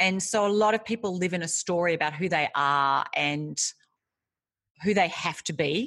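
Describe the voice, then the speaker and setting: Against a quiet background, a woman with an Australian accent speaks in an energetic tone at a moderate pace, her fairly low pitch showing ordinary variation. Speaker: author and leadership coach. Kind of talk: interview.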